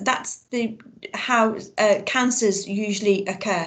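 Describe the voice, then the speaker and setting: Somewhat breathy, a woman speaks very slowly at a fairly high pitch with fairly even intonation. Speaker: biology teacher. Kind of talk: online lesson.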